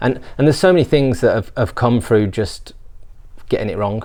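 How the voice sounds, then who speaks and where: A man with a Birmingham accent at a fairly quick pace, medium pitch, ordinary pitch variation and long, frequent pauses. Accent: Birmingham (Brummie). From England, Birmingham. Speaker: business founder. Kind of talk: interview. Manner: hesitant, repeats words.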